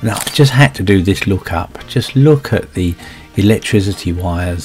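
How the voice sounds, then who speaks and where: Over music in the background, a man speaks at a moderate pace with a very deep, low pitch. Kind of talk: casual commentary.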